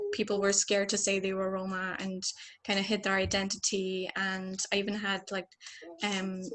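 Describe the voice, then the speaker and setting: A woman with an Irish accent speaks in a flat, monotone way. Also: medium pitch for a woman, moderate pace. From Ireland. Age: 20s. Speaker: community member on panel. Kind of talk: panel discussion.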